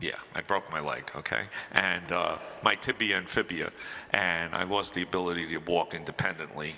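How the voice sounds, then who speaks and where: A man with an American accent speaks at a moderate pace in a very deep, low voice. His pitch varies in an ordinary way. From New Jersey (Brick). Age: 60s. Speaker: panelist with muscular dystrophy. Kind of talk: panel discussion.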